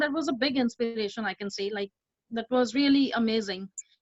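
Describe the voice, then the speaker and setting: With an Indian accent, a woman speaks at a moderate pace and a fairly high pitch with ordinary pitch variation, in a dry, close sound with no echo. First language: not English. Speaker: community volunteer. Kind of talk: personal testimony. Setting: video call. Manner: halting, many fillers.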